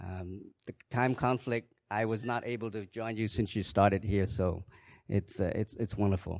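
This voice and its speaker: Speaking at a moderate pace with a Khmer accent, a man uses a fairly low pitch and fairly even intonation in a very clean recording with a silent background. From Cambodia. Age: 50s. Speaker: church member giving testimony. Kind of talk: testimony. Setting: church.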